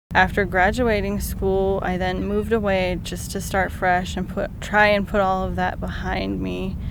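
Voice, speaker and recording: With audible room echo, a woman talks with hardly any pauses. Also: moderate pace. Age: 20s. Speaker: stroke survivor. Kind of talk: testimony.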